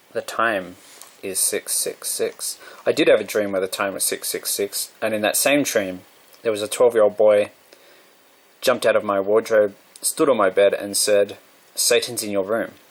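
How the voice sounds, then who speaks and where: A man with an Australian accent talks at a moderate pace, leaving long, frequent pauses. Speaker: vlogger. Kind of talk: monologue.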